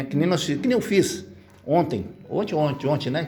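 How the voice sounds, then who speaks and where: Somewhat breathy and dark, mellow in tone, a man speaks at a moderate pace with lively intonation. Audible room echo is present. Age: 70s. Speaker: social project volunteer. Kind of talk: community meeting remarks.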